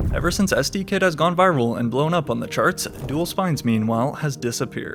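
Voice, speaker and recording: Music plays in the background while a man speaks at a fairly quick pace. His pitch is fairly high and his intonation lively. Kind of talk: music commentary narration.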